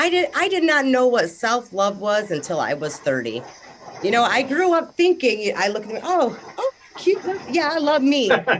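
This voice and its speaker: Her high-pitched voice shows very wide pitch swings. The woman is heard over noticeable background noise. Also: moderate pace. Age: 30s. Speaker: discussion group participant. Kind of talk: casual group discussion. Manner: animated.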